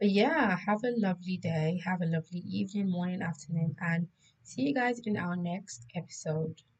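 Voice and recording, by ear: A woman puts on a raspy character voice, fairly low in pitch, at a moderate pace with ordinary pitch variation.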